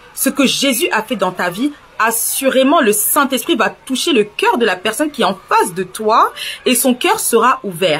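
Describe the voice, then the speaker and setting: Noticeable background noise beneath fairly slow speech. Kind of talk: religious testimony vlog. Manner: animated.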